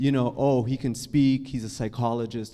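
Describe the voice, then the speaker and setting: In an American accent, a man talks at a moderate pace with a dark, mellow tone. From Canada. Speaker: psychologist and author. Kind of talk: panel discussion. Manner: casual, with frequent self-corrections.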